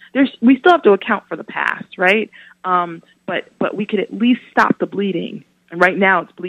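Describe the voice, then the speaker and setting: Someone with a plain, everyday voice talks at a moderate pace with ordinary pitch variation and big swings in loudness. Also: woman, medium pitch for a woman. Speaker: criminal justice reform advocate and psychotherapist. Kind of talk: radio interview. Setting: phone call. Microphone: clear phone line.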